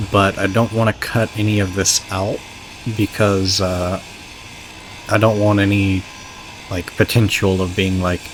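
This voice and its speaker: Long, frequent pauses break up the speech. Noticeable background noise runs underneath. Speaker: gaming YouTuber. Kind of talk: let's play commentary. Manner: halting, many filler words.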